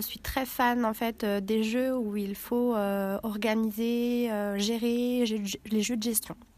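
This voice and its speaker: A woman's fairly high voice, flat and monotone, at a very slow pace. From Villefranche-sur-Saône, France. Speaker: board game club member. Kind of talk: interview. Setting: board game event.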